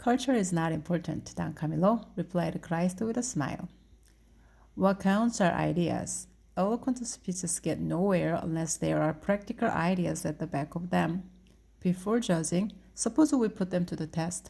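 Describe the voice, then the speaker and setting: A woman speaks with a fairly low pitch, a dark, mellow tone and vocal fry. Her pace is moderate, her pitch varies in an ordinary way, and the recording is very clean with a silent background. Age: 50s. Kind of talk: read story.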